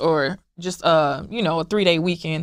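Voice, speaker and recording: The speaker has a plain, everyday voice with an American accent. The pace is moderate. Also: woman. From US South, Memphis, Tennessee. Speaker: blended family community founder. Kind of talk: interview. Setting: sit-down interview.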